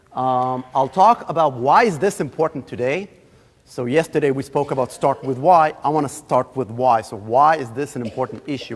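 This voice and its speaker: A man speaks with an Israeli accent at a medium pitch. His pace is moderate and his pitch variation ordinary. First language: Hebrew. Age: 30s. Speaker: guest lecturer. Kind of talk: lecture.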